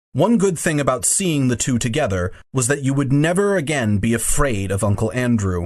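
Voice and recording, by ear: Natural-voiced reading aloud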